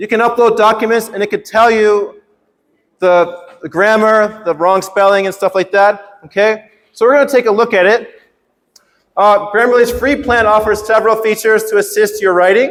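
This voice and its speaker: A high-pitched man at a moderate pace with fairly even intonation. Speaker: workshop presenter, teacher. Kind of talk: workshop presentation. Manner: teacher voice, projected.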